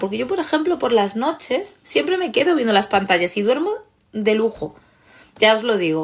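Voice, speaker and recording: The tone is animated. Pitch swings very widely throughout. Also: woman. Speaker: therapist and online course creator. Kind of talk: live stream talk.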